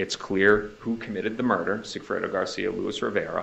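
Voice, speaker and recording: An American accent at a moderate pace. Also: man. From US Northeast. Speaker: defense attorney. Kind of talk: courtroom cross-examination. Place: hall.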